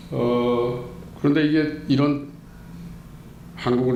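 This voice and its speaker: A man talks at a very slow pace with fairly even intonation, and audible room echo surrounds him. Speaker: former journalist and activist. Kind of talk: interview. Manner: indignant, emphatic.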